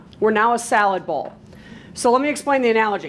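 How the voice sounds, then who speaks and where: A woman with a New York accent, fairly high pitch, very fast pace and lively intonation, over noticeable background noise. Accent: sounds like a New Yorker. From US Midwest, Milwaukee, Wisconsin. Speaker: professional speaker. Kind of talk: presentation. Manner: casual.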